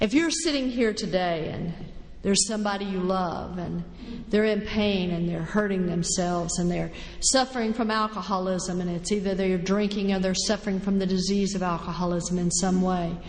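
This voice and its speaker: Over noticeable background noise and audible room echo, a woman talks at a moderate pace with an American accent. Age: 60s. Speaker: recovering alcoholic speaker. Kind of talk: recovery testimony talk.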